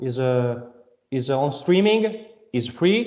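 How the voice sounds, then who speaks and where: Speaking at a very slow pace, a man with a medium pitch uses lively intonation, and audible room echo surrounds his voice. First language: not English. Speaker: band member, singer/songwriter. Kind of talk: interview. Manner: halting.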